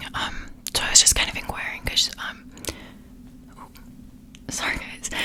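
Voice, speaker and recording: A woman whispering over noticeable background noise. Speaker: ASMR creator. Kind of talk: ASMR whisper ramble, casual talk to camera. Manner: whispered, soft-spoken.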